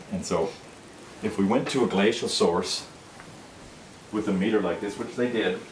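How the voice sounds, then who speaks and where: The speaker has a Minnesota accent. Noticeable background noise and audible room echo fill the recording. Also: man. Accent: northern US, Minnesota. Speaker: product demonstrator. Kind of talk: sales pitch.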